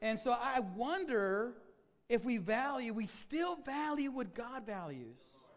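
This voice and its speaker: Lively intonation at a fairly slow pace, with audible room echo. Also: man, extremely high pitch for a man. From Mexico, raised in US from age five. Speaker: pastor. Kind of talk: sermon. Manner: halting.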